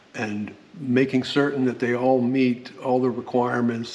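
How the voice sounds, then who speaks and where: Noticeable background noise sits under a man speaking at a moderate pace with a medium pitch. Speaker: solar power YouTuber. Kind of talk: technical product tutorial. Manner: long pauses, says um a lot; halting, repetitive.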